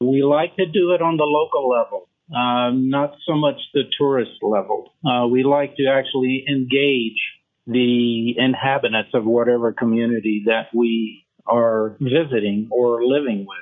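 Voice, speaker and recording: A man talks at a medium pitch with ordinary pitch variation. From US South, Memphis, Tennessee. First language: French. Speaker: rheumatologist. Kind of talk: interview.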